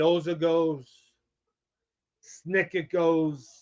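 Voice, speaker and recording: This man speaks with a high pitch. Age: 60s. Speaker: sports fan show host. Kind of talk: live-streamed fan rant. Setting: live stream from a smoke shop.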